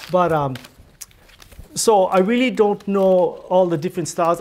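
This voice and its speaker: With light background noise behind him, a man speaks at a moderate pace with ordinary pitch variation. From Hawaii. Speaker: weaver. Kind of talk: demonstration talk. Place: office.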